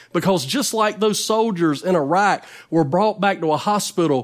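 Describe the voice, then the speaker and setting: A high-pitched man with a Southern US accent, lively intonation and a moderate pace. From North Carolina. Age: 40s. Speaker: evangelist preacher. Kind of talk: sermon.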